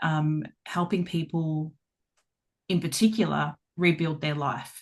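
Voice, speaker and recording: Against a quiet background, a woman with a fairly low pitch speaks at a fairly slow pace with fairly even intonation. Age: 40s. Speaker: life coach. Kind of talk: interview. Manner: halting, many fillers.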